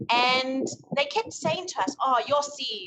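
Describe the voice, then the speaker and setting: Her accent is South African. The woman speaks at a high pitch. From South Africa, Johannesburg area. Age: 30s. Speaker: guest. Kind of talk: casual chat. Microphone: phone mic picks up rustle.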